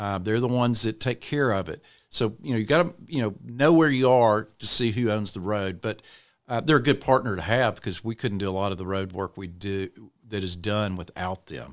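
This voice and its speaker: Over a silent background in a very clean recording, a man with an East Texas accent talks at a fairly quick pace, his fairly low pitch showing ordinary variation. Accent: East Texas Southern US. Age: 60s. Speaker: city councilman and mayoral candidate. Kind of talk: podcast interview. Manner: casual conversational.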